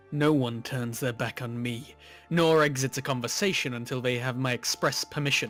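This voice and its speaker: A man uses a put-on character voice in a menacing tone, hissing at a moderate pace with medium pitch. Faint music plays in the background. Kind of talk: imperious, commanding. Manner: hissing, menacing.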